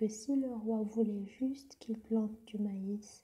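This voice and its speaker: Soft-spoken delivery at a very slow pace. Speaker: storyteller. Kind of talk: sleep story.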